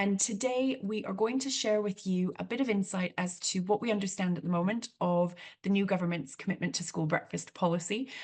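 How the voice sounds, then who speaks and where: Somewhat breathy, a woman talks at a fairly quick pace with hardly any pauses. Her medium pitch shows ordinary variation. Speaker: charity chief executive. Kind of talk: webinar introduction. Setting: video call webinar. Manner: frequent fillers.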